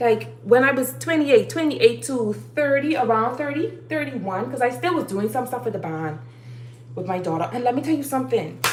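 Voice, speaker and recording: A woman speaks at a fairly quick pace. Noticeable background noise and audible room echo fill the recording. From Bahamas. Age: 30s. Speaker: livestreamer. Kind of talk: motivational talk. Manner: animated.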